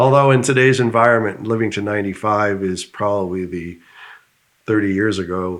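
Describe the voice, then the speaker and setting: Here a man with an American accent has an unremarkable speaking voice and a fairly low pitch. He talks at a fairly quick pace with fairly even intonation. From United States. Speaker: business founder. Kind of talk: interview.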